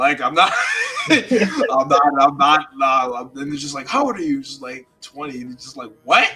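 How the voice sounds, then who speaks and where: The man's lively intonation and fairly quick delivery come through noticeable background noise. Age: 20s. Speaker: music producer and songwriter. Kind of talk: casual chat. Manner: animated.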